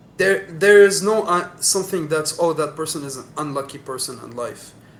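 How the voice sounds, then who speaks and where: Noticeable background noise surrounds a man with a fairly high voice. He speaks at a moderate pace with ordinary pitch variation and big swings in loudness. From UAE, Sharjah and Dubai. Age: 20s. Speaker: podcast guest. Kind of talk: casual chat.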